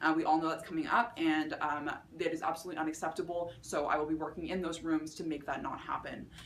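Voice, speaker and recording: Over noticeable background noise and audible room echo, a woman speaks at a very fast pace with a very deep, low pitch and fairly even intonation. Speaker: student election candidate. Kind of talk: campaign speech. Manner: many filler words and restarts.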